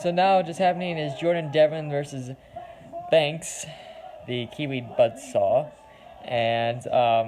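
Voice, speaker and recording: A man with an American accent and a fairly high pitch talks at a very slow pace, leaving long, frequent pauses. His pitch varies in an ordinary way over noticeable background noise. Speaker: wrestling fan reaction streamer. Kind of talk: live reaction commentary.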